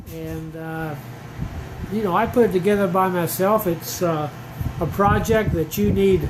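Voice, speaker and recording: A man with a high pitch talks in a relaxed tone at a fairly slow pace, with ordinary pitch variation, long, frequent pauses, and noticeable background noise. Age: 70s. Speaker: hobby gardener vlogger. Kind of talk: casual how-to vlog. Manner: relaxed, hesitant with fillers.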